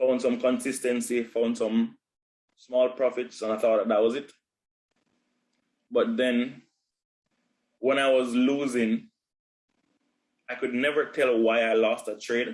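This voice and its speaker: Delivered in a flat monotone, the speech moves at a fairly slow pace with long, frequent pauses. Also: man, medium pitch for a man. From Jamaica. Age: 20s. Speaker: podcast co-host. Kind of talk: casual chat.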